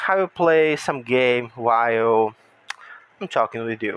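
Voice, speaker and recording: Lively intonation marks this man's speech, pitched at medium level. He speaks at a fairly slow pace in a Brazilian Portuguese accent. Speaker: gaming YouTuber. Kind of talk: casual monologue while gaming. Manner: halting.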